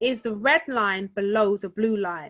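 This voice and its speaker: A woman's normal speaking voice at a medium pitch, with ordinary pitch variation, on a very clean recording with a silent background. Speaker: forex trading trainer. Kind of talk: tutorial.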